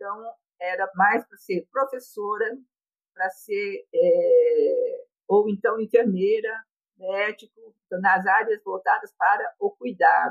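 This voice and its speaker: A woman at a very slow pace, with big swings in loudness. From Brazil, rural São Paulo state (Bebedouro), Japanese-Brazilian family. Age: 70s. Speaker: retiree telling her life story. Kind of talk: personal testimony.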